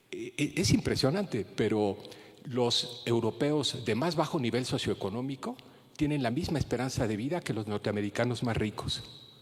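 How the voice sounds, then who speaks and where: A man talks at a moderate pace. His voice sits at a medium pitch with ordinary variation. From Mexico City. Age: 60s. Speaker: geriatrician giving keynote lecture. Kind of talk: lecture. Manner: hesitant with frequent fillers and repetitions.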